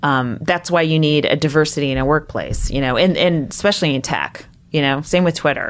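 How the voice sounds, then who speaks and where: At a fairly quick pace and with hardly any pauses, a woman speaks in a very deep, low voice with fairly even intonation. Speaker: stand-up comedian and comedy writer. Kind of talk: casual chat.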